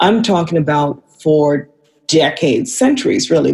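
A woman speaks with a very deep, low pitch and a somewhat breathy voice. Her intonation is lively and her pace moderate. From Vancouver, Canada. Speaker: filmmaker and radio host. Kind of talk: casual chat.

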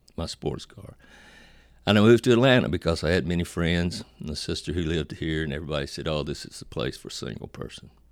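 A man with an American accent speaks fairly quickly with ordinary pitch variation. His very deep, low voice has vocal fry. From Virginia. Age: 70s. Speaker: speaker and counselor. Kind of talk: personal testimony. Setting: office.

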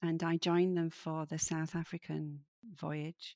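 A woman's very deep, low voice in a Yorkshire accent, dark and mellow, with monotone, flat intonation at a moderate pace, dry and close with no echo, in a very clean recording with a silent background. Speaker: midlife coach and author. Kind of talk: interview conversation.

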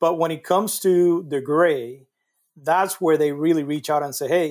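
On a very clean recording with a silent background, a man with a Spanish accent talks at a moderate pace, his fairly high voice showing ordinary pitch variation. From Puerto Rico. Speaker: construction safety professional. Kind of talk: casual interview.

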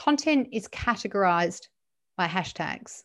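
Her pitch swinging very widely, a woman speaks against a quiet background. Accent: Australian. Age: 40s. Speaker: LinkedIn profile writer and trainer. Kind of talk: interview.

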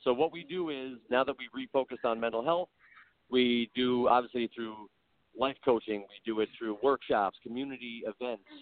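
With an unremarkable speaking voice, a man talks at a moderate pace with ordinary pitch variation and big swings in loudness. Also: medium pitch for a man. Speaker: podcast guest. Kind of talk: casual interview chat.

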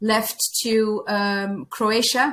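A woman with a Dutch accent and a fairly high pitch. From Netherlands. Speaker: former nun, workplace reintegration coach. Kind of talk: interview conversation. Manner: halting.

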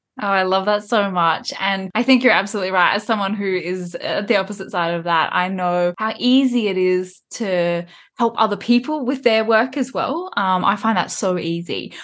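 A woman with a normal speaking voice and medium pitch talks at a moderate pace. She has ordinary pitch variation and hardly any pauses. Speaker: podcast host. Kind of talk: interview chat.

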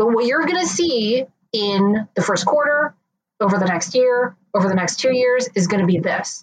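An unremarkable speaking voice: a woman's fairly high pitch with lively intonation, very even loudness and a moderate pace. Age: 30s. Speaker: marketing executive. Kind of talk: interview.

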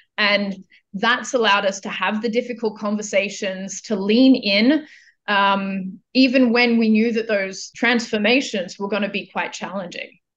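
Speaking in an Australian accent, a woman with a fairly high pitch keeps a moderate pace and fairly even intonation. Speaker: global business services executive. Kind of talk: interview.

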